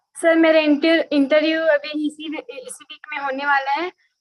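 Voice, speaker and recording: Delivering a monotone, flat intonation, a woman with a high pitch speaks at a fairly slow pace. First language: Hindi. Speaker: prospective student. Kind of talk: question at online session. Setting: video call. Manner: halting.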